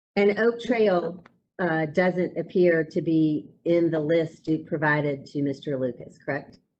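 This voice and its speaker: With ordinary shifts in pitch, the reading unfolds at a fairly slow pace. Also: woman, fairly low pitch for a woman. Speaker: attorney. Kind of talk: cross-examination.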